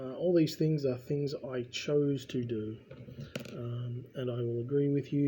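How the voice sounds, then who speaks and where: A man in a New Zealand accent at medium pitch, moderate pace and fairly even intonation, over noticeable background noise. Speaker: vlogger. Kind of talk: casual ramble while building. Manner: rambling, conversational.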